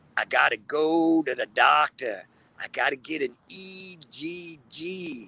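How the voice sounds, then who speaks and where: Using a put-on character voice, a man speaks at a very slow pace, raspy and fairly high in pitch. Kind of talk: interview answer.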